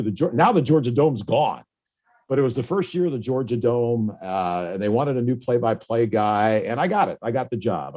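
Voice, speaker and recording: Dark and mellow in tone, a man speaks at a medium pitch with an American accent. His pace is fairly quick and his intonation lively. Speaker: radio play-by-play announcer. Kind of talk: interview answer. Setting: video call (Zoom).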